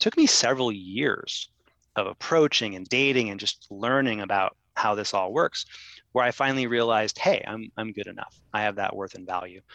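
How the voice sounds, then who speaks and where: With an American accent, a man at a medium pitch talks at a moderate pace in a bright, sharp tone with ordinary pitch variation, recorded dry and close with no echo against a quiet background. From Ohio, US Midwest. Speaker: dating coach and author. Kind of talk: interview.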